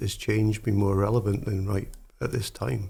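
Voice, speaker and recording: Dark and mellow in tone, the voice is somewhat breathy and carries a Scottish accent. The pace is moderate. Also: man. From Scotland, Dumfriesshire. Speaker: podcast host. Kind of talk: interview.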